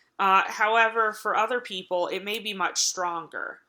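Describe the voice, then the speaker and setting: In an Appalachian accent, a woman speaks with a bright, sharp tone and fairly even intonation. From Appalachia, US. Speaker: college lecturer. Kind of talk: recorded online lecture. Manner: hesitant, many filler words.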